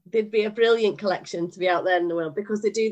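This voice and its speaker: With a Scottish accent, a woman speaks at a medium pitch. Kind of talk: casual chat.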